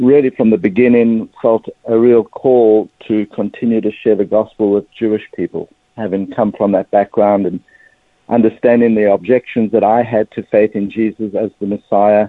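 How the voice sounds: A man with a South African accent speaks at a moderate pace in a fairly low pitch. His intonation is fairly even, and the sound is dry and close with no echo.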